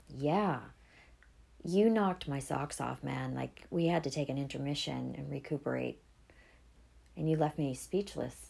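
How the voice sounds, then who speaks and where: Keeping a moderate pace, a woman speaks with long, frequent pauses. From New England, US (Boston area). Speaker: podcast host. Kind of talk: casual chat.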